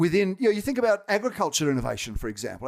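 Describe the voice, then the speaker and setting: On a very clean recording with a silent background, a man with a strong Australian accent speaks with very wide pitch swings. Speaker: technology executive. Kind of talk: podcast interview.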